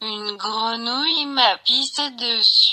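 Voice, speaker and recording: A woman puts on a raspy character voice, pitched high. She speaks at a fairly slow pace. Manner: very slow, halting.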